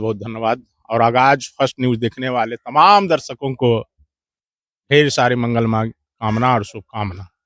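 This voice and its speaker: This is a man speaking. His pitch is medium, with ordinary pitch variation. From Bihar, India. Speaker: local activist. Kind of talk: interview. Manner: animated.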